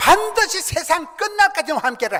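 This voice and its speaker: At a moderate pace, a man raises and projects his voice, with an animated tone and very wide pitch swings. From South Korea, rural countryside. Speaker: pastor. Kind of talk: sermon.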